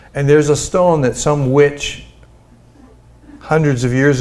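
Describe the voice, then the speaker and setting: Amid audible room echo, a man with a fairly high pitch talks at a fairly slow pace. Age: 70s. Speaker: pastor. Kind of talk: sermon.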